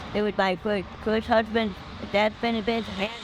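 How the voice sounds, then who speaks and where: Noticeable background noise under speech at a fairly quick pace. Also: woman. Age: old. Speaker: homeless woman. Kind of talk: interview.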